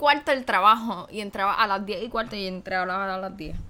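Her tone bright and sharp, a woman talks at a fairly quick pace with lively intonation. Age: 18. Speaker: podcast co-host, university student. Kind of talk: casual chat.

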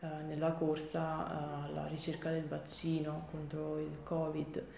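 Through noticeable background noise and audible room echo, a woman speaks at a very slow pace. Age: 20s. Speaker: art curator. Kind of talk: interview. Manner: halting, many fillers and repetitions.

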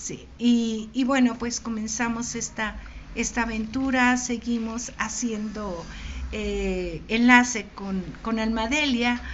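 In a room with audible echo, a woman talks at a very slow pace. Her fairly high voice is monotone and flat. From Mexico, Michoacán (Morelia). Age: 60s. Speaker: poet. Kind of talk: interview with poetry reading.

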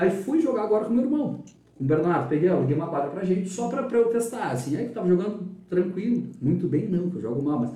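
Amid noticeable background noise and audible room echo, a man talks at a very fast pace in a high voice with very wide pitch swings. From Rio Grande do Sul, Brazil (Dom Pedrito, Capão da Canoa). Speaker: journalist. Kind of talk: interview. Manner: talkative.

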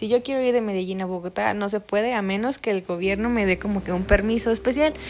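This woman has an ordinary speaking voice. Her pitch is medium, with ordinary variation. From Mexico. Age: 20s. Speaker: psychology student. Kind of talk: casual monologue.

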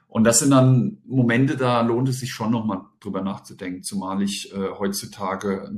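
A man with an ordinary speaking voice talks at a moderate pace and a fairly low pitch. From Germany, bilingual German-French household. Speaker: teacher and deputy head. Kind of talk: interview.

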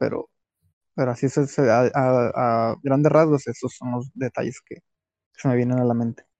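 A man's dark, mellow voice at a fairly slow pace, with ordinary pitch variation and a dry, close sound free of echo. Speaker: podcast guest. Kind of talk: casual chat.

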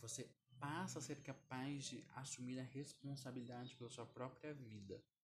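Somewhat breathy, a man speaks at a moderate pace and medium pitch. His loudness stays very even and his intonation fairly even. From Brazil, Curitiba. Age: 20s. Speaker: podcast host, self-development. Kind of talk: solo educational monologue.

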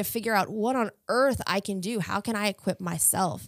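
A plain, everyday voice with an American accent speaks at a moderate pace with ordinary pitch variation, in a very clean, dry, close recording with a silent background and no echo. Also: woman. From Virginia, Chesterfield County. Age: 30s. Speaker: church community outreach worker. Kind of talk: interview. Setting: studio.

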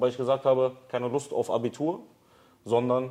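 At a moderate pace, a man speaks with a dark, mellow tone and medium pitch. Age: 30s. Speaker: business founder. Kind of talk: casual interview. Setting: studio with camera.

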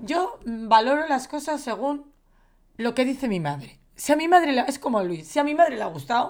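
A woman is talking. Her pitch swings very widely. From Valencia, Spain. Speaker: film podcast co-host. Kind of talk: casual chat.

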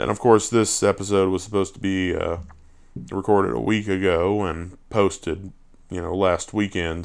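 A man with a very deep, low voice, ordinary pitch variation and a moderate pace, in a very clean recording with a silent background. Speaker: podcast host. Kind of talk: casual monologue announcement. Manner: halting.

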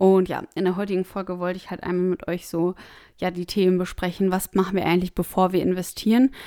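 Speaking very fast, a woman has a dark, mellow tone at medium pitch with monotone, flat intonation. The recording is very clean, with a silent background. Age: 20s. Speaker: personal finance podcast host. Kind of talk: solo podcast monologue.

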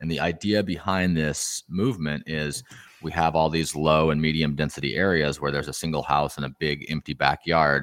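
With a West Coast accent, a man speaks at a moderate pace in a very deep, low voice with fairly even intonation, in a very clean recording with a silent background. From southern Oregon. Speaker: ADU developer and real estate investor. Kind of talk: interview.

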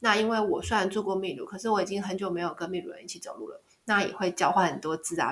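The voice is somewhat breathy and the pace very fast. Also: woman. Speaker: travel podcaster. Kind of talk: casual monologue.

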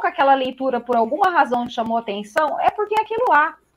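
Animated in tone, the speaker moves at a fairly quick pace with very wide pitch swings. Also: woman. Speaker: tarot reader. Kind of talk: casual chat.

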